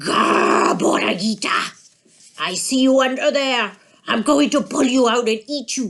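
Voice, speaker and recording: A man does a put-on character voice at an extremely high pitch, growling as he goes. His intonation is lively and his pace is moderate. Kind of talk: fairy-tale animal character. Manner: growling, menacing.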